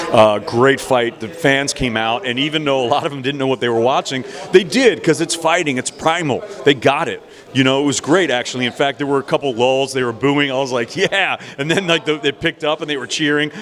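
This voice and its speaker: Noticeable background noise under a man's fairly high pitch. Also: ordinary pitch variation, fairly quick pace. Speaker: professional ring announcer. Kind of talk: interview answer. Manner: fluent, enthusiastic.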